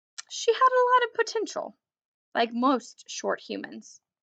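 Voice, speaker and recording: In a growling, put-on character voice with an extremely high pitch, a woman speaks at a moderate pace. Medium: read story. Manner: gruff, sarcastic.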